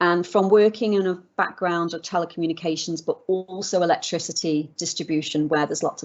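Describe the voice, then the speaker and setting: Someone with a British accent speaks at a fairly quick pace with ordinary pitch variation. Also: woman. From UK. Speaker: legal expert and business founder. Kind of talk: interview conversation.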